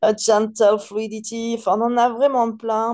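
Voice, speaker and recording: In a dark, mellow tone, a woman with a fairly high pitch speaks at a very slow pace. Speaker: perfume seller. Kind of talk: product presentation. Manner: hesitant, many fillers; casual.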